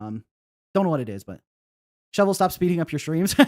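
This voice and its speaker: A man with fairly high pitch and very wide pitch swings is heard on a very clean recording with a silent background and a dry, close sound with no echo. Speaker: indie game developer and streamer. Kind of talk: casual live stream chat. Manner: fast.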